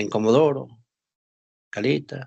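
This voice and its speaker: Against a quiet background, the speaker uses vocal fry at a very slow pace. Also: man. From northern Argentina, Formosa. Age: 60s. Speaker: war veteran. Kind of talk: interview.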